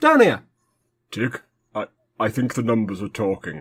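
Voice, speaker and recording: This man does a put-on character voice. His pitch is medium and his pace moderate. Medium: comedy sketch. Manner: bickering, petulant.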